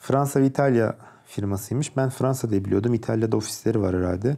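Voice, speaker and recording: A man's dark, mellow voice comes through in a very clean recording against a silent background. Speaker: electronics engineer and tech YouTuber. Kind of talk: tutorial. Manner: hesitant, frequent fillers. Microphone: good microphone.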